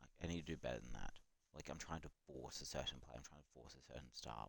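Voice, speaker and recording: Someone whispers at a very fast pace. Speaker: gaming streamer. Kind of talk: live gameplay commentary. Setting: late night live stream. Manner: whispering.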